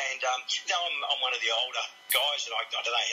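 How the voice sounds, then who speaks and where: A man with an Australian accent talks at a very fast pace amid noticeable background noise. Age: 60s. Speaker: boxing referee. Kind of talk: radio interview.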